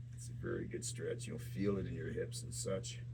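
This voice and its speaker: The man's speech moves at a moderate pace, and room echo is audible. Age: 60s. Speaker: fitness channel host. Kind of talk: exercise tutorial.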